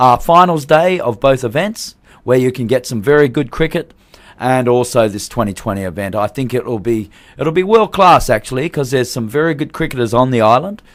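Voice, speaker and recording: This man speaks with an Australian accent at a medium pitch. His pace is fairly quick and his intonation lively. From Australia, Perth. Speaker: cricket tournament organiser. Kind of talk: radio interview. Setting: radio studio.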